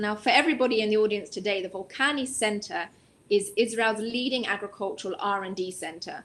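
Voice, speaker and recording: A woman with an English accent speaks at a fairly quick pace, her fairly high pitch moving with ordinary variation. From England, London. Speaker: non-profit executive director. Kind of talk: interview.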